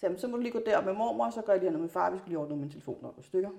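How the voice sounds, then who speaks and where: With a medium pitch for a woman, her voice swings very widely in pitch. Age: 40s. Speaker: parent. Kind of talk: casual interview.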